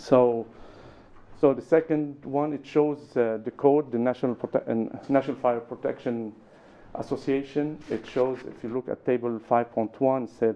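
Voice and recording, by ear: A man speaks at a moderate pace and a medium pitch, with little pitch movement. His tone is dark and mellow.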